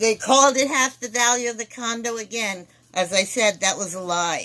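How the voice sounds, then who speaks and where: Bright and sharp in tone, a woman's fairly high voice moves at a moderate pace with ordinary pitch variation. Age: 60s. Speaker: former trust beneficiary making a complaint. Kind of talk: personal complaint monologue. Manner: halting, with repetitions.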